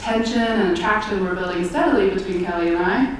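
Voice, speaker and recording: A woman at a medium pitch and very fast pace, with ordinary pitch variation, audible room echo and noticeable background noise. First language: American Sign Language. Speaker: theater performer. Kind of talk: storytelling.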